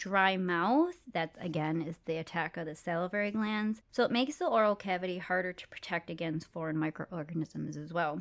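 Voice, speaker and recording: With an American accent, a woman speaks at a moderate pace, with hardly any pauses, in a fairly low pitch and ordinary pitch variation, a normal speaking voice. The recording is very clean, with a silent background. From United States. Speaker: dental hygienist podcast host. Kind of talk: educational podcast chat.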